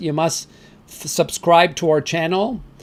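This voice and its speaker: A man speaks at a fairly slow pace in a high voice with a French Canadian accent. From Canada (French-speaking). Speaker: crypto channel host. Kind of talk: live stream chat with viewers. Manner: casual, halting with fillers.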